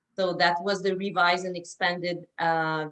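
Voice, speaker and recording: Speaking at a fairly slow pace, a woman with a Quebec accent has a fairly low pitch. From Quebec, Canada. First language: French. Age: 50s. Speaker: naturopath, interviewer. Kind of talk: interview. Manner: halting.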